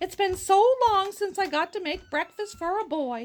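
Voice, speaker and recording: A woman uses a put-on character voice, squeaky and at an extremely high pitch. She keeps a moderate pace. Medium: read story. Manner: motherly, fussing.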